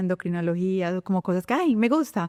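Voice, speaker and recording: With a Colombian paisa accent, a woman speaks at a medium pitch. Her tone is dark and mellow, and the sound is dry and close with no echo. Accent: Colombian (paisa) sing-song. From Colombia, Medellín. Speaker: veterinarian. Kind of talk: interview.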